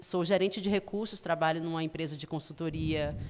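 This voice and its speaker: A woman talks in a normal speaking voice at a fairly low pitch. Her intonation stays fairly even. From Brazil, Ceará (Fortaleza). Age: 40s. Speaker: podcaster and tour guide. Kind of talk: casual interview. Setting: studio.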